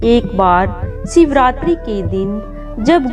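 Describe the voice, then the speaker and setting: Music plays behind a woman speaking. Her high voice moves through very wide pitch swings. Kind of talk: devotional story narration.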